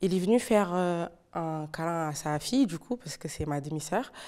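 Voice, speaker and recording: Over a quiet background, a woman speaks with a fairly low pitch and a dark, mellow tone. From Portugal. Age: 20s. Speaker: teaching assistant and youth activity leader. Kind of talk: testimony. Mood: emotional, recounting trauma. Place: studio. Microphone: lapel.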